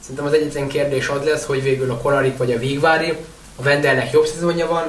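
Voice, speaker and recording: The man's voice sits at a fairly high pitch with fairly even intonation. Noticeable background noise runs underneath. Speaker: water polo podcast co-host. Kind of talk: casual chat.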